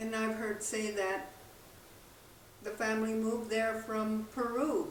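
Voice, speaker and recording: A woman talks with an American accent and ordinary pitch variation, her loudness very even. There is audible room echo and noticeable background noise. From southern New Mexico. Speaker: spiritual teacher and drummer. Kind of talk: spiritual talk. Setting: outdoors by a campfire.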